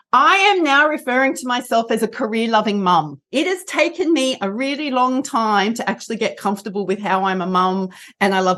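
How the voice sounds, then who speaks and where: A fairly quick woman with an Australian accent, fairly high-pitched and bright, sharp in tone, with very wide pitch swings, hardly any pauses and a quiet background. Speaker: rehabilitation counsellor and coach. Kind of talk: interview.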